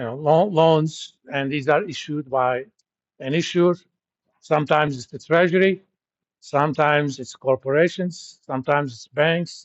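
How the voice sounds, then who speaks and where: A man with a non-native accent and big swings in loudness. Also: moderate pace. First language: not English. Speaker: university lecturer. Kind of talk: lecture. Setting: classroom. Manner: conversational with filler words.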